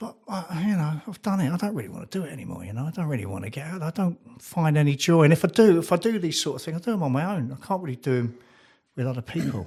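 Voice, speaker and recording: Rushing at a very fast pace, a man with a fairly high pitch and a dark, mellow tone uses lively intonation. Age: 60s. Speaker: former actor, recovered addict. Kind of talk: casual interview.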